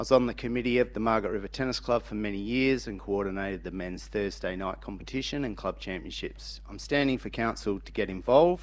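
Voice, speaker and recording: Spoken in an Australian accent, the clip has a silent background. It is a very clean recording. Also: man. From rural Western Australia. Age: 40s. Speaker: council candidate. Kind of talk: candidate speech.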